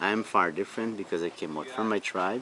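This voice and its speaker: Noticeable background noise sits behind a man's voice. He keeps a moderate pace. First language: Wapixana. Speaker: tour guide. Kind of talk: interview answers. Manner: halting, non-native phrasing.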